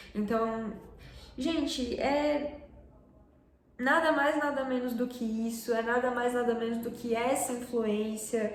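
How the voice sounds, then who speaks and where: Amid noticeable background noise and audible room echo, a woman with a fairly high pitch talks at a fairly slow pace with fairly even intonation. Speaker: fashion and culture YouTuber. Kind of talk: casual vlog commentary.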